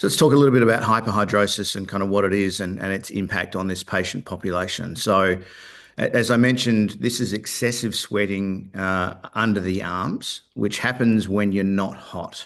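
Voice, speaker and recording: Speaking at a moderate pace with an Australian accent, a man keeps a fairly low pitch and fairly even intonation over a quiet background. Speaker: company founder and executive. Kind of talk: investor presentation. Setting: virtual webcast. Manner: hesitant, many filler words.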